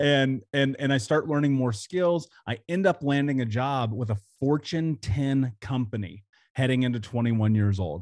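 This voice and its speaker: Here a man has a plain, everyday voice. He talks at a medium pitch and a moderate pace with ordinary pitch variation. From US Midwest, Indianapolis. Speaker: podcast host, author and speaker. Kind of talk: interview, personal story.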